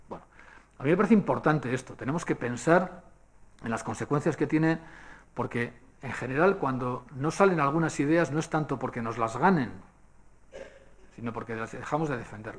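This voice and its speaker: A man's fairly high voice with lively intonation and long, frequent pauses, on a very clean recording with a silent background. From Basque Country, Spain. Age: 60s. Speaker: speaker at a public forum. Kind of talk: lecture. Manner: conversational, with frequent fillers.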